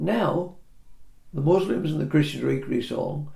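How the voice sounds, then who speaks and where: Audible room echo surrounds this recording. A man with an English accent speaks at a moderate pace. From England. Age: 80s+. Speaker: property surveyor. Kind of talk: casual chat.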